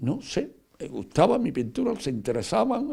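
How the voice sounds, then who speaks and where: A man's dark, mellow, medium-pitched voice with vocal fry. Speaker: painter. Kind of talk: interview. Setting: at home. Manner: fast; halting, many repetitions and fillers.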